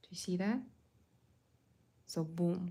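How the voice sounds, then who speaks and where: With a non-native accent, a woman talks in a fairly low pitch with fairly even intonation. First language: not English. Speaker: watercolor artist and art teacher. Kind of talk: live painting tutorial. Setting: livestream. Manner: casual, hesitant with fillers.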